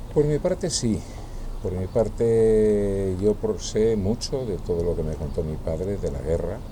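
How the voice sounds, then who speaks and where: Audible room echo surrounds a man with a fairly low pitch. He speaks at a fairly slow pace with lively intonation. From northern Extremadura, moved to San Sebastián at eleven. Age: 70s. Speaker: interviewee recalling the postwar era. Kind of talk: casual interview.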